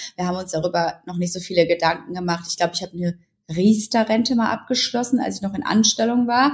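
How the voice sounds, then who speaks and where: A woman talks at a very fast pace, her voice somewhat breathy, with ordinary pitch variation. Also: medium pitch for a woman. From Ruhr area, Germany. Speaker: journalist and blogger. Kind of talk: interview.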